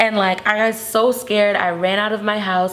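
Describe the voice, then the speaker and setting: A woman speaks over noticeable background noise. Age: 20s. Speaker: artist. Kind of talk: interview. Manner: casual, filler-heavy.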